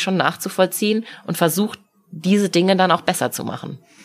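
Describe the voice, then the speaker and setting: With music playing in the background, the speaking proceeds at a moderate pace. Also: woman. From Munich, Bavaria. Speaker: mayoral candidate, politician. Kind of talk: casual interview.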